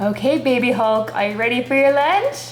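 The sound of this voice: A female-sounding voice does a growling, put-on character voice at a high pitch and a fairly quick pace. Clear background noise is present.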